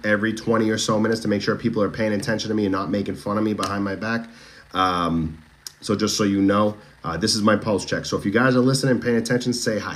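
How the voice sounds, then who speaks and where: Speaking at a very fast pace, a man with an American accent has a fairly low pitch. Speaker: true crime livestreamer. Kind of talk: casual livestream commentary. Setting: TikTok livestream. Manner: animated, chatty.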